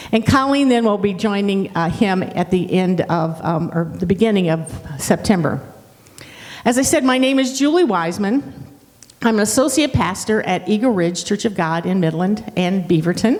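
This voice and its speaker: A woman with an American accent, medium-pitched, at a moderate pace with lively intonation, amid noticeable background noise and audible room echo. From Ohio, Dayton. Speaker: pastor. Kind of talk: sermon.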